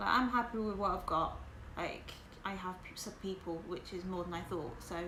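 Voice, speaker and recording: A woman with a medium-pitched voice and a southern English accent, with noticeable background noise and audible room echo. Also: ordinary pitch variation, moderate pace. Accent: sounds southern English. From northern England, West Yorkshire. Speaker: livestreamer. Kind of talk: casual livestream chat with viewers.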